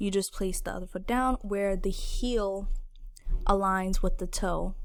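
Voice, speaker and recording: A woman speaks in a plain, everyday voice at a medium pitch. Her pace is fairly slow and her intonation fairly even. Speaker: dancer. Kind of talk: casual tutorial talk to camera.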